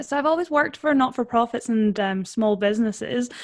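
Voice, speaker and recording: The recording is very clean, with a silent background. A woman talks at a moderate pace in a Scottish accent. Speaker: personal branding consultant. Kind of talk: interview.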